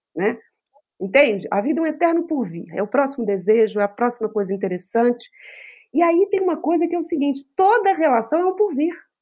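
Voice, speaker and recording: With a dark, mellow tone, a woman speaks at a fairly quick pace, her high pitch moving in very wide swings. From Brazil, Minas Gerais (Belo Horizonte). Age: 40s. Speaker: psychologist. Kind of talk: casual chat.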